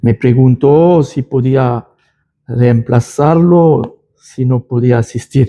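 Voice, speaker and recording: Speaking at a very slow pace, a man with a medium pitch and a dark, mellow tone keeps his intonation fairly even. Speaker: lay preacher. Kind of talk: church announcement and Bible study. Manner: halting, with self-corrections.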